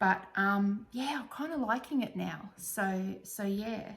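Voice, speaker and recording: Somewhat breathy, a woman speaks with an Australian accent and lively intonation. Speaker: crafting vlogger. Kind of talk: casual chat. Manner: hesitant, many fillers.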